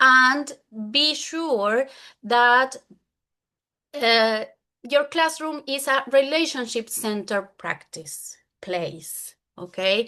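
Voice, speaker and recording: A raised, projected voice with a bright, sharp tone speaks in a Spanish accent. The pace is very slow, with long, frequent pauses. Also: woman, high pitch for a woman, lively intonation. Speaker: English teacher. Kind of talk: conference presentation.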